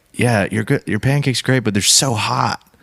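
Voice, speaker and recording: The man's voice has a dry, close sound with no echo, at a fairly quick pace. Noticeable background noise is present. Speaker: musician and comedic performer. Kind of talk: casual chat.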